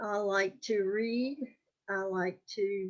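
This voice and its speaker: Fairly high-pitched female speech, intonation fairly even. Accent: North Carolina. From US South, North Carolina (Wake County). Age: 80s+. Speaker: oral history interviewee. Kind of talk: interview. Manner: halting, many fillers.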